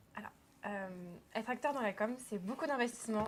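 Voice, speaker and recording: At a moderate pace, a woman talks in a plain, everyday voice, fairly high in pitch with ordinary pitch variation. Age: 20s. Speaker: student actor. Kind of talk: interview.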